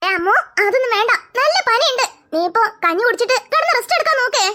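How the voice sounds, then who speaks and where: A woman's cartoonish character voice, extremely high in pitch, with lively intonation, a fairly quick pace and very even loudness. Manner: calm, reassuring.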